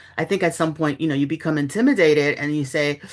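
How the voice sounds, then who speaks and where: A woman talks very fast in a very deep, low pitch with a slight Bronx accent. Her pitch variation is ordinary, and the background is quiet. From New York City, the Bronx. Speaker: journalist and author. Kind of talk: interview. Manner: conversational, with fillers.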